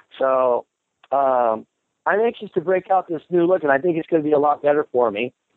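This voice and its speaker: The speaker talks at a fairly quick pace with an American accent. The intonation is lively. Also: man, fairly high pitch for a man. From Colorado, US. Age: 50s. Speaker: actor. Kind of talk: casual interview storytelling. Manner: animated.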